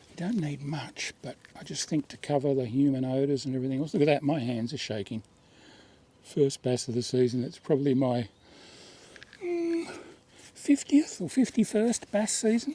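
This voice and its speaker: Speaking in an Australian accent, a man with a fairly high pitch talks at a moderate pace, with lively intonation, big swings in loudness, and long, frequent pauses. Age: 60s. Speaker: fishing show host. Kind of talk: outdoor fishing vlog commentary. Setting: outdoors in a kayak on a river. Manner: casual, conversational.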